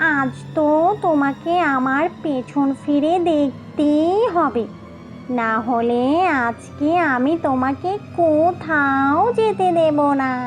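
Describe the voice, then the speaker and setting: Using a cartoonish character voice, a woman with a high pitch speaks at a very slow pace while clear music plays in the background. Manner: teasing, menacing.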